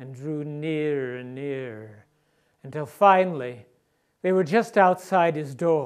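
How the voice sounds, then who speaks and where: With an unremarkable speaking voice, a man talks at a fairly slow pace in a fairly high pitch, with ordinary pitch variation and big swings in loudness. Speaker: storyteller. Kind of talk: theatrical ghost story performance.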